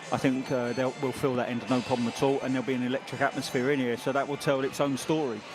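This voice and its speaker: The speech comes at a very fast pace with hardly any pauses and monotone, flat intonation, with music in the background. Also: man, medium pitch for a man. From southern England, Brighton. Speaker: ex-footballer pundit. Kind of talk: pre-match commentary chat.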